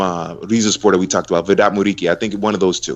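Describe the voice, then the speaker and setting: A man with an American accent. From United States. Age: 30s. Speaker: football commentator. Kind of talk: casual chat.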